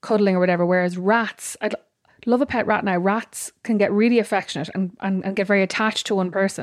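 With an Irish accent, a woman of medium pitch talks at a very fast pace on a very clean recording with a silent background. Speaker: podcast co-host. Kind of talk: casual chat. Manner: animated.

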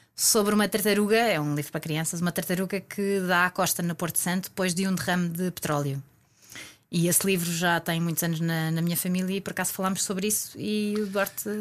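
A woman with a normal speaking voice talks at a fairly quick pace and medium pitch. Her intonation is fairly even, on a very clean recording with a silent background. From Portugal, Algarve. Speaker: interview guest telling her love story. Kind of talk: casual interview, storytelling.

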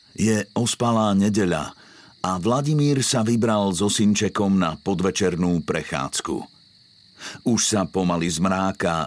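A dramatic tone from a man, fairly low in pitch with ordinary pitch variation, at a fairly slow pace. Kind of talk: true-crime scripted narration. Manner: measured, dramatic storytelling pace; grave, suspenseful, formal.

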